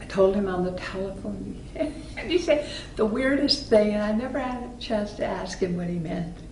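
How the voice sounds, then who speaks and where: Over noticeable background noise, a woman speaks fairly slowly at a medium pitch. Her pitch swings very widely. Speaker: actress. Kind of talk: interview answer.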